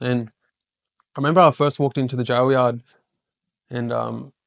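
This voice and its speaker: In a flat monotone, a man with an Australian accent speaks on a very clean recording with a silent background. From Queensland, Australia. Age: 30s. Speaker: podcast host and ex-prisoner speaker. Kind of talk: public talk. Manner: halting.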